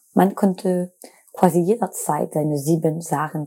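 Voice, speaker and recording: With a French accent, a woman speaks at a moderate pace in a dark, mellow tone. Her pitch is very deep and low, and her intonation is fairly even. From France. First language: French (speaking German). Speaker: podcast host and student researcher. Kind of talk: scripted narration.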